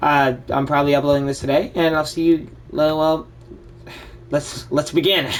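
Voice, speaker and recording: Quiet and monotone with flat intonation, the voice moves at a moderate pace broken by long, frequent pauses. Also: man, fairly high pitch for a man. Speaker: gaming youtuber. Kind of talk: casual gameplay commentary.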